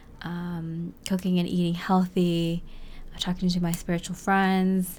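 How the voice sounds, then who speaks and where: Soft-spoken, a woman talks at a fairly low pitch in a dark, mellow tone with monotone, flat intonation. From New England. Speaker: spiritual content creator. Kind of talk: reflective personal monologue. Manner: slow.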